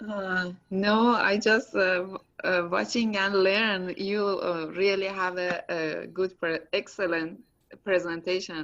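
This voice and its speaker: The speaker talks at a very slow pace with a non-native accent. The intonation stays fairly even. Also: woman, medium pitch for a woman. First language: non-native English speaker. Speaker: student. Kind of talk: casual chat. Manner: halting.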